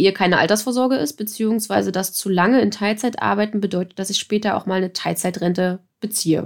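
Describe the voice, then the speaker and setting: A woman's unremarkable speaking voice, medium in pitch with ordinary pitch variation, at a moderate pace, on a very clean recording with a silent background. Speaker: podcast host. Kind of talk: podcast conversation.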